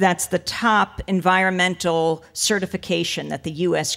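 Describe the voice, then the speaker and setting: With an ordinary speaking voice, a woman talks at a fairly slow pace and a fairly low pitch against a quiet background. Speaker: speaker. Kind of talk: commencement speech. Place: stage. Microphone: podium.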